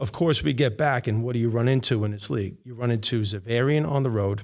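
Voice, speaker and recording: Talking very fast in a New York accent, a man uses a medium pitch and ordinary pitch variation over a silent background in a very clean recording. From New York City, Queens. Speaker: high school basketball coach. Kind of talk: casual chat. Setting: classroom.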